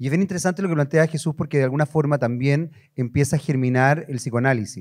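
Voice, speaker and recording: Against a quiet background, an unremarkable speaking voice moves at a fairly quick pace with ordinary pitch variation. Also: man. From Chile. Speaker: journalist and TV presenter moderating a panel; journalist, TV presenter. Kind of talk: panel moderation. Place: hall. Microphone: handheld.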